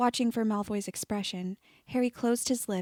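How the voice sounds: The pitch shifts in an ordinary way within a natural reading voice.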